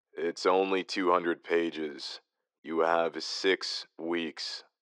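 In a put-on character voice with a deadpan, tired tone, a man speaks very slowly at a very deep, low pitch against a quiet background. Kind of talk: audio drama.

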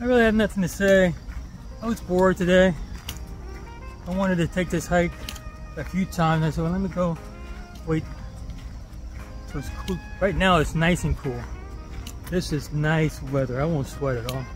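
Clear music plays behind a man who speaks at a moderate pace with long, frequent pauses. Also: dry sound with no echo. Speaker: hiking vlogger. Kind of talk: casual vlog chat. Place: forest. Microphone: phone near.

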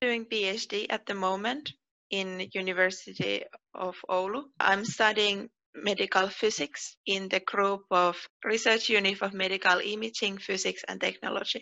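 A woman with a Finnish accent and fairly even intonation. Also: moderate pace, quiet background. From Finland. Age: 20s. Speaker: PhD researcher. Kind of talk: personal interview monologue. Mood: friendly, calm. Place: home room. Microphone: headset.

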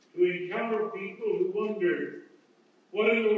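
A man with a high voice and fairly even intonation is heard in strong room echo over light background noise. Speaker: bishop preaching. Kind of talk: sermon. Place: hall.

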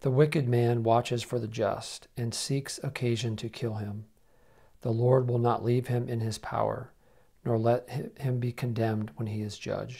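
A man speaks at a moderate pace over a quiet background. His voice is somewhat breathy, with monotone, flat intonation. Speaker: prayer co-leader. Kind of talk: liturgical prayer. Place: home room. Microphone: lapel.

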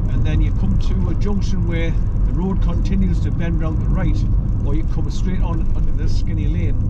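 A man is talking. Loud background noise runs behind him. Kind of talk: casual driving commentary. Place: car. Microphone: phone near.

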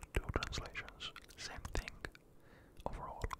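A man whispering. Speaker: ASMR creator. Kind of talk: ASMR trigger-word video. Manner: whispered, soft-spoken. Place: home room. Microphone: studio mic.

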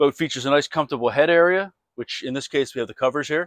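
A man talks at a fairly quick pace with fairly even intonation, recorded dry with no echo against a quiet background. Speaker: boat salesman. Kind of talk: product walkthrough. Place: street. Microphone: lapel.

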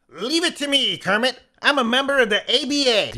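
This man uses a cartoonish character voice pitched extremely high, talking at a moderate pace. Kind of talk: comic puppet voice. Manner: eager, punning.

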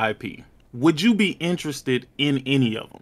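A man speaks in a normal speaking voice, at a fairly slow pace with lively intonation. The recording is very clean, with a silent background. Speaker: gaming podcast co-host. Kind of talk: casual chat.

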